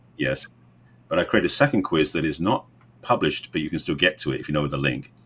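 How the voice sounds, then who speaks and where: Speech comes at a very fast pace with an English accent and some vocal fry. Pitch variation is ordinary. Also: man, very deep, low pitch for a man. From England. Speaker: relationship coach. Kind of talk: podcast interview.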